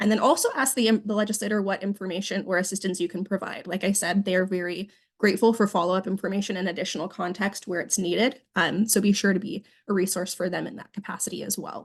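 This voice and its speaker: A woman talks at a very fast pace with fairly even intonation. The background is quiet. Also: medium pitch for a woman. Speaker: government relations staffer. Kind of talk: training presentation. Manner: hesitant with many fillers.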